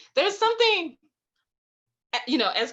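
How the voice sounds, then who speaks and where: A woman with an Alabama accent speaks in a bright, sharp, animated tone. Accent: Southern US (Alabama). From Alabama, US South. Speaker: poet and writing workshop leader. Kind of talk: online writing workshop.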